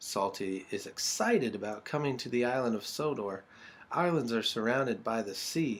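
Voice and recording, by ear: The reading is done aloud in a natural voice, and the intonation is lively.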